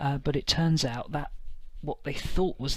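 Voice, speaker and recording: A man speaks quietly in a bright, sharp tone. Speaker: tabletop wargaming youtuber. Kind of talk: casual review monologue. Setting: at home at night. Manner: quiet, keeping voice down; hesitant, many fillers. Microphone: may sound quiet.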